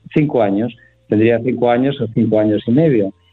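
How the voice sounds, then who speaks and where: The speaker is a man with a medium pitch. He keeps his intonation fairly even. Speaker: retired voice actor. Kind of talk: interview. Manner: halting, many repetitions.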